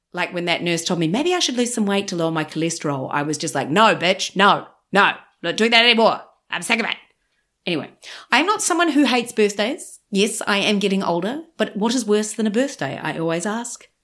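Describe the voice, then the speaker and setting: A woman's medium-pitched voice in a New Zealand accent, animated and fairly quick, with very wide pitch swings, on a very clean recording with a silent background. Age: 40s. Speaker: podcast host and comedian. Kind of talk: casual confessional monologue. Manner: humorous.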